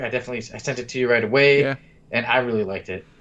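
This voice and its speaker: Pitched at a medium level with ordinary pitch variation, a man talks in a plain, everyday voice. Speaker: podcast host. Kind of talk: casual chat.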